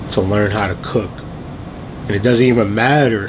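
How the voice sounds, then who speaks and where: A man speaks at a fairly quick pace. Audible room echo and noticeable background noise surround him. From Trinidad, moved to US as a child. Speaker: vlogger. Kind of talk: casual storytelling vlog. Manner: casual, filler-heavy.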